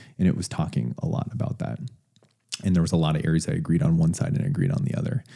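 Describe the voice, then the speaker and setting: This man's voice is very deep and low, with a dark, mellow tone and vocal fry. He talks at a very fast pace with very wide pitch swings. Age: 30s. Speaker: podcast host. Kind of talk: casual interview.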